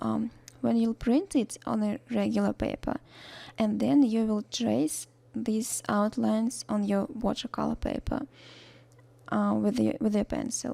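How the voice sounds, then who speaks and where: A woman in a Russian accent, at a fairly slow pace. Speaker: watercolor art teacher. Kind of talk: tutorial. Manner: hesitant, many fillers; unscripted voice-over.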